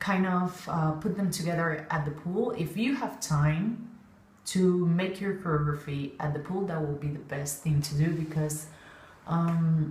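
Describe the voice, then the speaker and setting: With a non-native accent, a woman speaks in a somewhat breathy, fairly low voice at a fairly slow pace with ordinary pitch variation. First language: not English. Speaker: synchronized swimming coach. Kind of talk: casual talk to camera. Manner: hesitant, many fillers.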